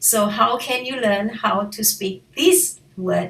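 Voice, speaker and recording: Against noticeable background noise, a woman with a Malaysian accent speaks with ordinary pitch variation. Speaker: language teacher. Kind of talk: tutorial.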